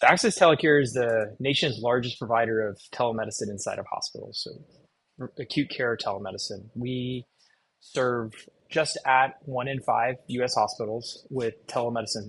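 A man speaks in a normal speaking voice with an American accent, at medium pitch. His pace is moderate and his pitch varies in an ordinary way. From Texas. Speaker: cardiologist and telemedicine executive. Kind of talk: interview.

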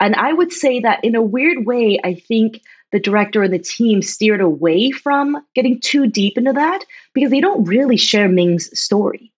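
With a Canadian accent and a normal speaking voice, a woman talks at a fairly high pitch with lively intonation and very even loudness over a quiet background. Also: moderate pace. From Ontario, Canada (small town outside Toronto). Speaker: professor. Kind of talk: casual chat.

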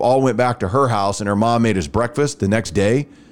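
A plain, everyday voice: a man with an American accent, medium pitch, ordinary pitch variation, and a fairly quick pace on a very clean recording with a silent background. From Rockwall area, Texas. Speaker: podcast host, former radio host. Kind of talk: casual chat.

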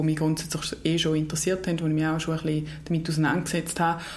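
A woman with a fairly low pitch talks amid noticeable background noise, with audible room echo. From eastern Switzerland. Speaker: equestrian federation official. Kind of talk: interview. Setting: studio, face to face. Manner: hesitant, many fillers.

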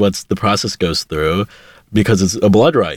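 A man with a Pittsburgh accent speaks at a fairly low pitch with ordinary pitch variation. The recording is very clean with a silent background, and the sound is dry and close with no echo. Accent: American, Pittsburgh area. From Pittsburgh, Pennsylvania, US. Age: 20s. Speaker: aspiring multimedia journalist. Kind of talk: casual interview.

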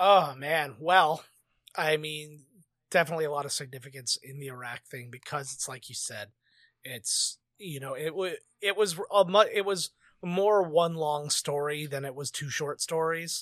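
A man with a Canadian accent speaks at a moderate pace in a normal speaking voice, his pitch fairly high. His loudness swings widely while his pitch varies in an ordinary way. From Canada. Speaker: podcast judge. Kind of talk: casual chat.

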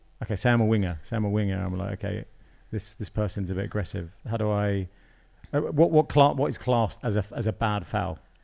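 A man with a British accent speaks at a fairly quick pace in a dark, mellow tone and fairly low pitch, on a very clean recording with a silent background. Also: ordinary pitch variation. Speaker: podcast host. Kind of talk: casual interview. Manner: casual, filler-heavy.

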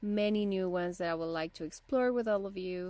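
On a very clean recording with a silent background, a woman with a Spanish accent speaks at a fairly quick pace in a fairly low pitch. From Bolivia. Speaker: podcast host, rock climber and photographer. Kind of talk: podcast introduction monologue. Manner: slightly halting.

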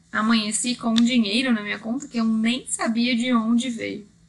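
A woman's fairly high-pitched voice in a Brazilian accent. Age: 30s. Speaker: Reiki master and podcaster. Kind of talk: scripted narration.

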